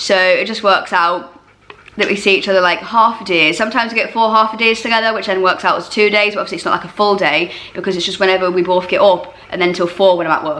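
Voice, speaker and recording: A woman speaks at a very fast pace with a medium pitch and fairly even intonation. Noticeable background noise sits behind her. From eastern England. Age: 30s. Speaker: YouTuber. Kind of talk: casual Q&A chat. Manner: loud.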